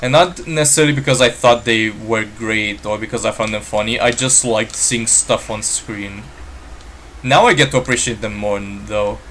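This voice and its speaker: Someone speaks at a moderate pace in a Romanian accent, with ordinary pitch variation. Background noise is noticeable. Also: man, medium pitch for a man. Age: 20s. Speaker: gaming streamer. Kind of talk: live stream gameplay chat. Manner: hesitant, many fillers. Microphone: built-in laptop mic.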